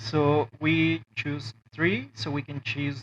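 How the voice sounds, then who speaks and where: Very slow speech from a man, with noticeable background noise behind it. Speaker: toy maker and 3D modeling tutor; 3D modeling tutor. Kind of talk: tutorial. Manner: hesitant, many fillers. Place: home room.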